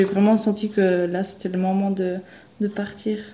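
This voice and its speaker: A woman speaks at a medium pitch in a monotone, flat intonation, with noticeable background noise behind her. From Switzerland. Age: 20s. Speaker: au pair on a mission. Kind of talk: personal testimony. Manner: halting, many repetitions and hesitations.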